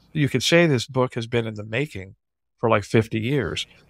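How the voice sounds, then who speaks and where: A man speaks in a normal speaking voice at a medium pitch, with ordinary pitch variation and a fairly quick pace. The sound is dry and close with no echo, on a very clean recording with a silent background. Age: 60s. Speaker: drummer and author. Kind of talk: interview.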